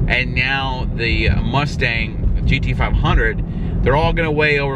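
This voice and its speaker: Through loud background noise, a man speaks at a very slow pace. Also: dry sound with no echo. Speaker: car vlogger. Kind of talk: casual vlog chat. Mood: mildly disappointed, candid. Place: car. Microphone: phone near.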